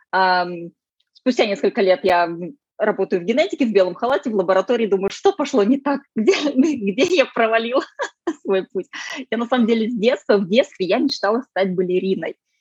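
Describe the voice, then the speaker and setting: A woman with a plain, everyday voice, a fairly high pitch and lively intonation, at a moderate pace in a dry, close sound with no echo. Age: 30s. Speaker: sustainability consultant, former geneticist. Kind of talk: casual interview.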